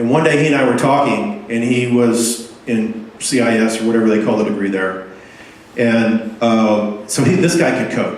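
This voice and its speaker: Amid noticeable background noise and audible room echo, a man speaks at medium pitch and a moderate pace with ordinary pitch variation. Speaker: software developer giving a meetup talk. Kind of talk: conference talk. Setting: meetup talk with audience. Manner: halting, many fillers and repeats.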